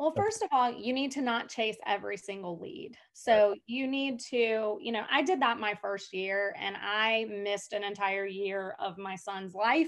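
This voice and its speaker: With an American accent, a woman talks at a fairly slow pace with hardly any pauses, her fairly high pitch showing ordinary pitch variation over a quiet background. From Atlanta, US South. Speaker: real estate agent. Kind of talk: interview. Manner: loud; animated. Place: home room. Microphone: video call.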